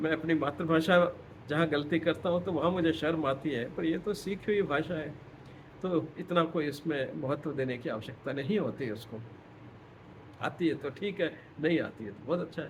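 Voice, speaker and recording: A man with a fairly high voice talks amid audible room echo. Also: ordinary pitch variation. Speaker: retired professor. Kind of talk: lecture. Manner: halting.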